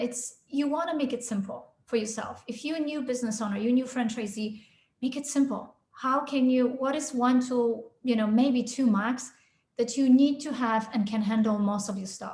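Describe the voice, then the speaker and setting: A woman's high-pitched voice at a fairly quick pace, ordinary pitch variation, and audible room echo. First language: not English (English is her third language). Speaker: sales consultant. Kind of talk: podcast interview.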